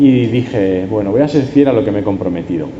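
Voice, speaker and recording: Over noticeable background noise and audible room echo, a man speaks in an Andalusian accent. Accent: Huelva accent (when speaking English). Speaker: preacher. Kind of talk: sermon.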